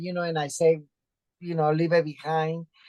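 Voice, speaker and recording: A woman with a Spanish accent at a fairly low pitch, over a quiet background. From Mexico, Mexico City. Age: 60s. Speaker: author and activist. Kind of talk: interview. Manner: halting, many fillers.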